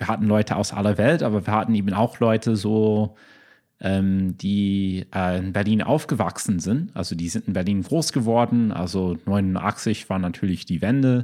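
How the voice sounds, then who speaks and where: Over a silent background in a very clean recording, a man with an English accent speaks at a moderate pace, his fairly low pitch showing ordinary variation and a dark, mellow tone. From US, Chicago. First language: English (speaking German). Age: 30s. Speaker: lawyer. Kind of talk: casual chat. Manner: halting, many fillers.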